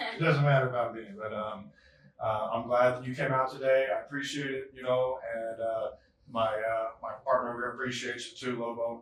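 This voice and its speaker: A man with a Southern US accent speaks at a fairly quick pace and medium pitch. His intonation is monotone and flat, with noticeable background noise. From Bay Area, California. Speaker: interviewer. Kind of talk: casual interview. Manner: hesitant, many fillers.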